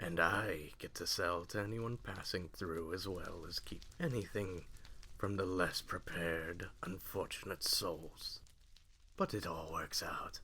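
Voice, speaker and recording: A man uses a put-on character voice with a very deep, low pitch. He talks at a fairly slow pace over clear background noise. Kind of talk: roleplay audio. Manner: calm, polite.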